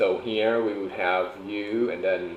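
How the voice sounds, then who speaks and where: A man speaks with a Thai accent amid noticeable background noise. Room echo is audible. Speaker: streamer. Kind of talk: homework livestream. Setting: home livestream, top floor room. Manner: casual, halting.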